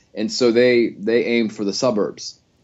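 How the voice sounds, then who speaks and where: A man with a North Carolina accent speaks at a medium pitch. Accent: North Carolina Southern. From US South, Gastonia, North Carolina. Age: 40s. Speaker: novelist. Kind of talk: interview.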